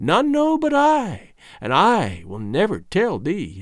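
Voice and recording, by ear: A man puts on a shrill character voice at a high pitch. He speaks slowly, with very wide pitch swings.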